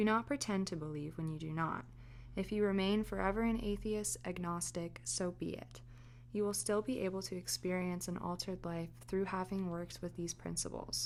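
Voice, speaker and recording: A soft-spoken woman at a moderate pace. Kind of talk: ASMR fireside book reading. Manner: soft-spoken, natural.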